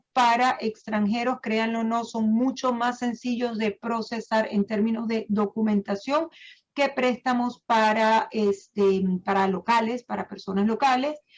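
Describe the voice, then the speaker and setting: With a Venezuelan accent, a woman talks at a fairly slow pace. Her intonation stays fairly even. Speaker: title agency manager. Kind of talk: online seminar presentation. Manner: hesitant, many fillers.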